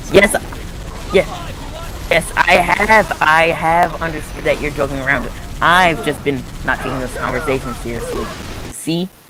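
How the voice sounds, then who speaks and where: A man with a high-pitched voice speaks at a moderate pace, his pitch varying in an ordinary way, with long, frequent pauses and music playing in the background. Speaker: gaming streamer. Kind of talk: casual chat.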